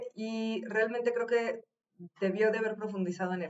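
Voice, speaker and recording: A woman with a Mexican accent speaks at a moderate pace in a fairly high voice, her intonation fairly even. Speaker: video reaction commentator. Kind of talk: reaction commentary on an interview.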